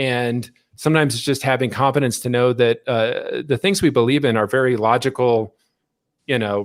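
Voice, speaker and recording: The recording is very clean, with a silent background. A man with an American accent speaks at a medium pitch and moderate pace, his intonation fairly even. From Colorado, Boulder. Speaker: former state legislator and startup founder. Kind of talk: interview. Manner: halting, many fillers.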